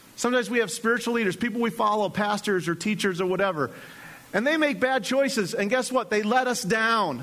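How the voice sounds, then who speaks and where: A man with a high-pitched voice speaks in an animated tone with lively intonation against noticeable background noise. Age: 40s. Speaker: pastor. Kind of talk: sermon. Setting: church.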